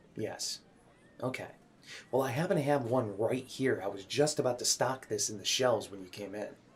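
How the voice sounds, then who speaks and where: Soft-spoken and somewhat breathy, a man talks with ordinary pitch variation. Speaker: ASMR creator. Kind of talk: ASMR game store roleplay, personal attention. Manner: soft-spoken, friendly, conversational.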